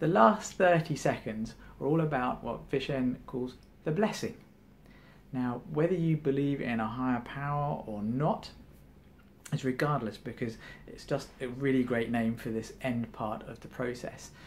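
A man speaks in a calm tone at a fairly slow pace. His medium pitch shows ordinary variation over light background noise. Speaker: meditation enthusiast. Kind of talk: guided meditation. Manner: calm, instructive, conversational. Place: home room.

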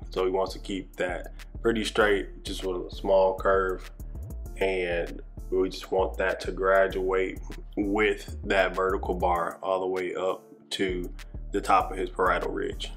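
Fairly slow male speech against faint background music. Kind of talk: tutorial. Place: shop.

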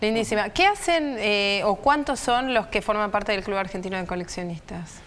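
A woman keeps a moderate tempo and ordinary pitch movement while light noise runs in the background. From Argentina. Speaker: radio host. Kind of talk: casual chat. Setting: studio. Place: studio. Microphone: lapel.

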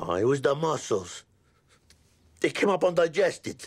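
A man speaks at a moderate pace with lively intonation and vocal fry against a quiet background. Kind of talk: scripted dialogue, casual complaint. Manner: weak, queasy voice of a sick man. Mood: wry, slightly sick complaint. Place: home room.

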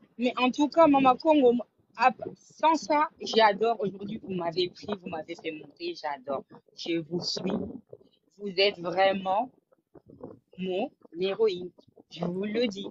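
Over light background noise, a woman talks at a very slow pace with long, frequent pauses, the sound dry with no echo. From Congolese, raised in Europe. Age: young. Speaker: caller. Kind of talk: call-in opinion. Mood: animated, admiring. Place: home room. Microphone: video call.

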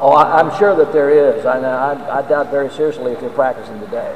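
A man with an American accent speaks at a moderate pace with lively intonation over noticeable background noise. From American Deep South. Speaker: radio play-by-play announcer for college football. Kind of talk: speech to a club audience about the football team. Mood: upbeat, proud of team. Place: hall. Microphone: podium.

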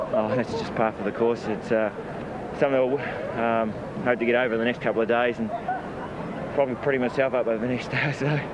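A man talks at a very fast pace. The sound is dry with no echo, and background noise is noticeable. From New Zealand. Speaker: team captain, rugby league player. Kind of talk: post-match interview. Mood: tired, reflective after the game. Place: stadium. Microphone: handheld.

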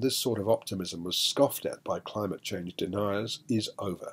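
Somewhat breathy, a man speaks at a moderate pace. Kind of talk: film review commentary. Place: studio.

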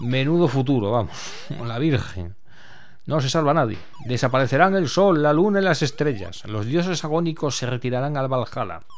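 Fairly high in pitch, a man speaks at a moderate pace with lively intonation. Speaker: retro gaming YouTuber. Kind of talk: casual commented gameplay walkthrough; epic mythic narration, read aloud in intro story. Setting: home recording with voiceover over game footage. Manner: halting, repeats words, thinking aloud.

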